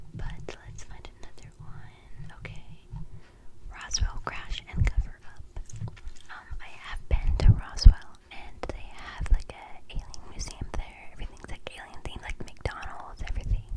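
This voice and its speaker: With noticeable background noise behind it, the whispering moves at a fairly slow pace. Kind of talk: ASMR whisper ramble. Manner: casual, rambling.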